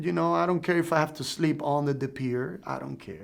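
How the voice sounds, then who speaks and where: Speaking at a moderate pace, a man with a Cuban accent has a fairly high pitch. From Cuba, Pinar del Rio. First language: Spanish. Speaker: Cuban refugee and drummer. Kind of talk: interview testimony.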